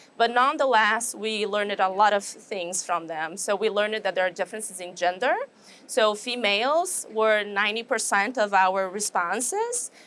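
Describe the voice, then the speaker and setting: A woman's medium-pitched voice with a Brazilian accent, at a moderate pace with ordinary pitch variation. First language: Portuguese. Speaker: animal nutrition professor. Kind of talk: interview. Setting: trade show.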